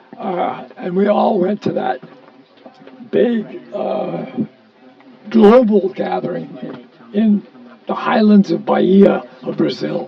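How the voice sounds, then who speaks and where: Noticeable background noise runs under a man speaking at a very slow pace. His pitch is high, and he leaves long, frequent pauses. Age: 80s+. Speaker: early member of a countercultural gathering. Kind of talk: storytelling.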